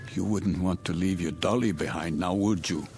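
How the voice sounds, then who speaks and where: In a put-on character voice, a man speaks with a very deep, low pitch at a moderate pace. Background noise is clearly audible. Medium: audio drama. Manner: halting, distracted.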